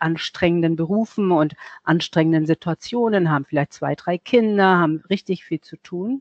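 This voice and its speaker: Moderately paced speech from a woman with a fairly low pitch, ordinary pitch variation, and a plain, everyday voice. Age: 60s. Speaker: self-love and appearance coach. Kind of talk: interview.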